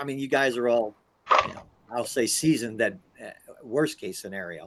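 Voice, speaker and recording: A man is speaking. His pace is fairly quick. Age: 60s. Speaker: engineer and 3D printing hobbyist. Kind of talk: casual chat. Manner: halting, repeats words.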